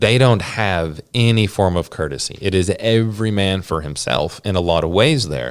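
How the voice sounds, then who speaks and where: A man's fairly low-pitched voice in a Southern US accent, with lively intonation, a moderate pace and hardly any pauses. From US South, Georgia. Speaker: missionary. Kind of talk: interview conversation. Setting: office.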